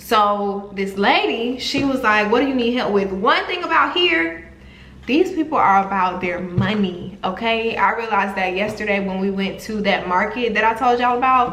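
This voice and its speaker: Over noticeable background noise and audible room echo, a woman speaks at a moderate pace and fairly high pitch with lively intonation. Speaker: travel vlogger. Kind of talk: casual vlog storytelling.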